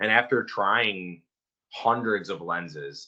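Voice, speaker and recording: A man's fairly low voice in a strong Michigan accent. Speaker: company founder and CEO. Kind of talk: interview. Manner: casual, filler-heavy.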